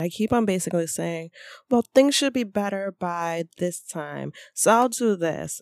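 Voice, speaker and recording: Set in a dry, close sound with no echo and a very clean recording with a silent background, a normal speaking voice moves at a fairly slow pace with lively intonation. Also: woman, medium pitch for a woman. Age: 30s. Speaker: podcast host. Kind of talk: casual personal storytelling monologue.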